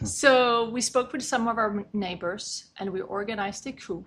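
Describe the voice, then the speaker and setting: A woman speaks in a Swedish accent at a moderate pace. Her pitch is fairly high, with ordinary variation. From Sweden. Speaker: condo and co-op governance consultant. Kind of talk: interview podcast.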